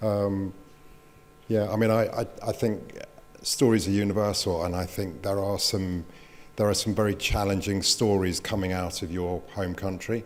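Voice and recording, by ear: A man talks with a low pitch. His voice shows little pitch movement. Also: moderate pace.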